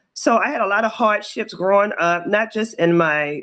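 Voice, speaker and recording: Against a quiet background, a woman with a Baltimore accent speaks at a moderate pace with ordinary pitch variation. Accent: Baltimore American. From US, Baltimore. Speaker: author. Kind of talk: interview.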